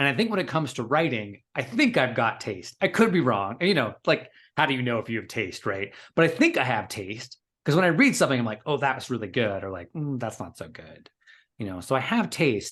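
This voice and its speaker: A man at a medium pitch with very wide pitch swings and big swings in loudness, at a fairly quick pace over a quiet background. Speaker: coach and writer. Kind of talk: casual chat. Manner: fast.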